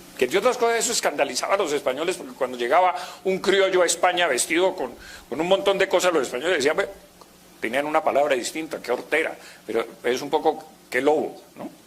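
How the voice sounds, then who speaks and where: A man talks at a very fast pace with lively intonation and a fairly high pitch. Noticeable background noise runs underneath. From Colombia. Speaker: university professor. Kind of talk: conference lecture. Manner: conversational, hesitant.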